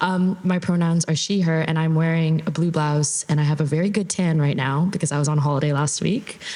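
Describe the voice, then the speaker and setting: A woman with a Canadian accent talks at a very deep, low pitch and a fairly quick pace, with hardly any pauses and fairly even intonation. Noticeable background noise can be heard. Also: very even loudness. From Canada. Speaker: content creator and strategist, panelist. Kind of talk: panel discussion.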